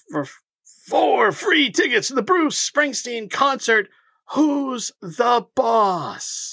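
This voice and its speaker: Someone puts on a character voice with a fairly high pitch and talks at a very slow pace. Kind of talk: radio announcer. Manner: slowed down, repeated.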